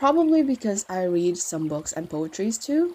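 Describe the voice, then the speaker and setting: With a non-native accent, a woman talks using lively intonation. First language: not English. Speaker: fanfiction writer and video creator. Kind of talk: Q&A video, answering viewer questions. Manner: casual, with fillers and self-corrections.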